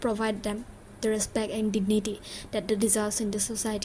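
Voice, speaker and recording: A woman speaks at a moderate pace. Her fairly high voice is somewhat breathy. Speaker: vlogger, exam student. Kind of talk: personal vlog, emotional monologue. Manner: halting, stuttering.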